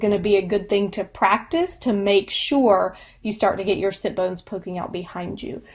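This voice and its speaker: At a moderate pace and medium pitch, a woman talks in a plain, everyday voice against a quiet background. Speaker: yoga instructor. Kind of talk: lecture.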